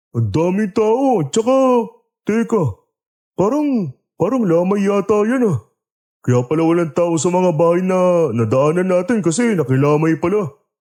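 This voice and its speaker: In a put-on character voice, a man with a high pitch speaks at a fairly slow pace, his pitch swinging very widely while his loudness stays very even. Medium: audio drama. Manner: complaining, blunt.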